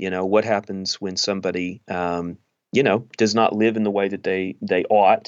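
Using a normal speaking voice, a man with an American accent talks at a moderate pace, his fairly low pitch held in fairly even intonation. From East Texas. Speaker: pastor and author. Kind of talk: interview.

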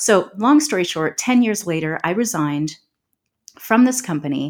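Speaking with a normal speaking voice, a woman uses a fairly low pitch and lively intonation at a moderate pace. The recording is very clean, the background silent. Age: 40s. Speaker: transformation and intuitive guide. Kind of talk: casual interview.

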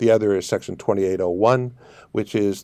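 A man speaks in an ordinary speaking voice with a Canadian accent. His pitch is fairly low, and it varies an ordinary amount. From Canada. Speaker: international tax and immigration advisor. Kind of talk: interview.

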